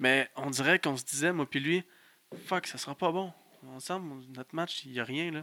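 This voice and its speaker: A man speaks in a bright, sharp tone with ordinary pitch variation and big swings in loudness. The sound is dry and close, with no echo. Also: fairly high pitch for a man, moderate pace. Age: 20s. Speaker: pro wrestler. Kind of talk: casual chat. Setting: studio.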